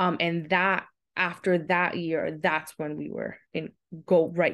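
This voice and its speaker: A woman with an American accent speaks at a fairly slow pace. Her voice is fairly low in pitch and has vocal fry. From Queens, New York. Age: 30s. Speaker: special education teacher. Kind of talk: casual interview.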